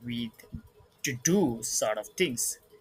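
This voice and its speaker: With a non-native accent, a man speaks at a medium pitch in a bright, sharp tone. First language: not English. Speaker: content creator. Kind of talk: vlog monologue. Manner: halting, many fillers.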